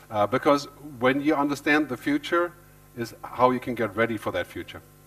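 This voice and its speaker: A man's speech shows ordinary pitch variation while noticeable background noise runs underneath. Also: medium pitch for a man, fairly quick pace. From Germany. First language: German. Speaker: futurist and author. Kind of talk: keynote talk. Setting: stage with audience. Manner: fast.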